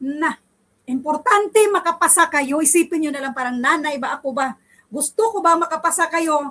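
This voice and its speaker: A woman's raised, projected voice, high-pitched with a bright, sharp, animated tone, ordinary pitch variation and a moderate pace. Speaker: online civil service exam review teacher. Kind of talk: online review class wrap-up. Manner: emphatic.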